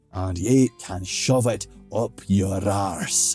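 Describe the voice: Slow, low-pitched put-on character voice from a man, slightly mellow with a slightly husky edge, faint music in the background. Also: ordinary pitch variation.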